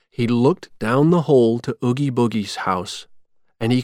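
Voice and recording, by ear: The background stays quiet while a person is reading aloud in a natural voice.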